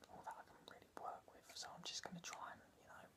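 A man whispering. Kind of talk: casual comedic skit talk to camera. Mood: deadpan, hesitant. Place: home room. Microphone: phone near.

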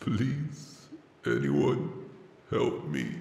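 A man performs a put-on character voice. The sound carries a slight echo. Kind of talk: short movie trailer skit. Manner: pleading, desperate.

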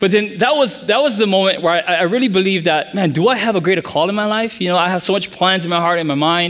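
The speaker talks very fast with ordinary pitch variation and hardly any pauses. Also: man, high pitch for a man. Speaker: pastor. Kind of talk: sermon. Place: church.

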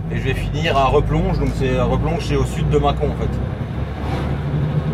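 Fairly slow speech under loud background noise. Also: man. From France. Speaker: truck driver vlogger. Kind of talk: casual vlog narration. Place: car. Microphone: camera far.

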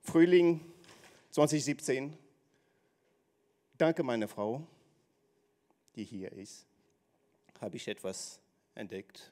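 A man with a dark, mellow tone speaks at a very slow pace, leaving long, frequent pauses. His intonation is lively, and his loudness swings widely. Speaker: speaker in a speaking contest; speaker. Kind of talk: speech on stage. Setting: stage with audience. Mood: earnest personal story. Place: hall. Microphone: handheld.

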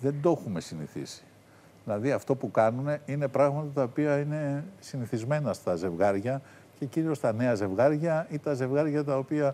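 At a moderate pace, a man with a fairly high pitch and a dark, mellow tone speaks with ordinary pitch variation. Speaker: TV critic. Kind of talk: casual chat. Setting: studio. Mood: relaxed, amused. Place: studio.

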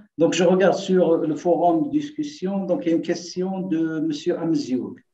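With audible room echo, a man speaks fairly slowly in a high-pitched, dark, mellow tone and ordinary pitch variation. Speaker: seminar moderator; lecturer. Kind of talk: Q&A moderation; lecture, taking questions. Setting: video call. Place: home room. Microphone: webcam.

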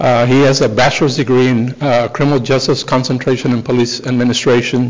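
The speech moves at a fairly quick pace. Intonation stays monotone and flat. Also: man. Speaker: police chief addressing council. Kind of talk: formal announcement speech. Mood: proud, formal. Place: hall. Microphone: podium.

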